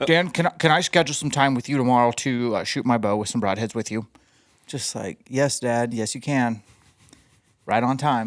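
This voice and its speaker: A man talks at a moderate pace in a medium pitch. He has a plain, everyday voice with ordinary pitch variation. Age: 40s. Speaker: podcast co-host, bowhunter. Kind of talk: casual chat.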